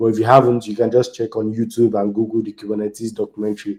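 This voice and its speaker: A man speaks with a Nigerian accent at a medium pitch. His tone is dark and mellow. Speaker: software engineer and community speaker. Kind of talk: conference talk.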